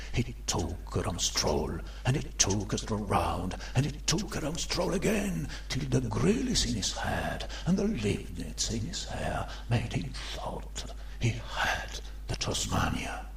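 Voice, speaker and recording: A man at a fairly slow pace over clear background noise. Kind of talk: dramatic literary reading. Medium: read story. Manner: playful, theatrical, rhythmic.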